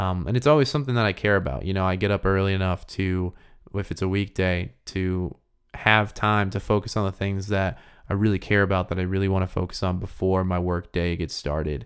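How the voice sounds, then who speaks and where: A man's very deep, low voice at a fairly quick pace, ordinary pitch variation, on a very clean recording with a silent background. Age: 20s. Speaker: podcast host. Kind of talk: casual Q and A monologue.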